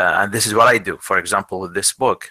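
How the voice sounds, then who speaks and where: A man's bright, sharp voice with a non-native accent, in a dry, close sound with no echo. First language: not English. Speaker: English conversation trainer. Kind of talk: online class session. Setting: video call. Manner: halting, many fillers.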